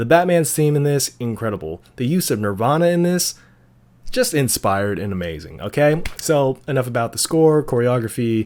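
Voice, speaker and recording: This man talks at a medium pitch and a moderate pace. His pitch swings very widely. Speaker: movie reviewer youtuber. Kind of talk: casual vlog review. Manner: animated; halting.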